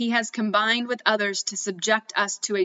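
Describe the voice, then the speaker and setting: At a moderate pace, a woman talks in an ordinary speaking voice at fairly high pitch. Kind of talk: historical document reading.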